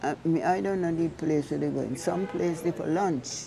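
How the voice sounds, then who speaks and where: A woman talks in a fairly low pitch with ordinary pitch variation. Noticeable background noise runs behind her. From St Vincent and the Grenadines (Layou). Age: 80s+. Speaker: centenarian interviewee. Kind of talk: interview.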